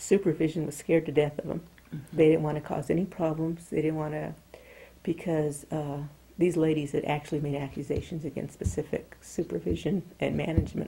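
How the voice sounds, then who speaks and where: With an American accent, a woman talks at a fairly quick pace in a very deep, low pitch, her dark, mellow tone marked by vocal fry, fairly even intonation and big swings in loudness. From US South, El Paso, Texas; Texas. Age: 40s. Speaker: former nuclear plant chemical operator; interviewee. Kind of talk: oral history interview. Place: home room.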